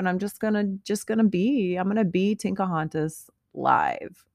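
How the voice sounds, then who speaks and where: The recording is very clean, with a silent background and a dry, close sound with no echo. A woman speaks at a medium pitch with fairly even intonation. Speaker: podcast host. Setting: home office studio. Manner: loud, fiery, emphatic.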